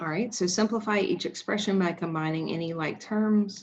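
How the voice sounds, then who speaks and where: Here is a woman with a plain, everyday voice. She keeps a moderate pace and fairly even intonation. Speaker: high school math teacher. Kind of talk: tutorial.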